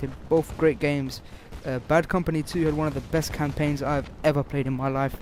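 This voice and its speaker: A man talks at a fairly quick pace in a fairly high pitch. His intonation is monotone and flat. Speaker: gaming commentator. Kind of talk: gameplay commentary. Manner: fast; halting, self-correcting.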